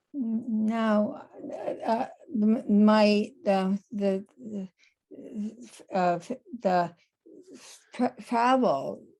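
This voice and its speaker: Very slowly and with long, frequent pauses, a woman with a fairly high pitch speaks in a somewhat breathy voice, with a dark, mellow tone and ordinary pitch variation. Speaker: author and stroke survivor. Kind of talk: webinar interview. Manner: halting, stuttering speech from aphasia.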